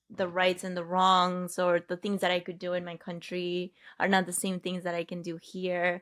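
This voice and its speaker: With a Spanish accent, a woman speaks at a moderate pace in a fairly low, flat monotone on a very clean recording with a silent background. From Peru. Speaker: health and wellness coach. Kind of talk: podcast interview.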